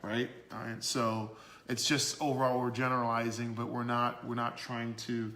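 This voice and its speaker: A man's bright, sharp tone at medium pitch, monotone and flat in intonation, at a moderate pace, with audible room echo. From Canada, Toronto. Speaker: business owner, dating advice guest. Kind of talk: podcast interview. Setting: livestream on social media.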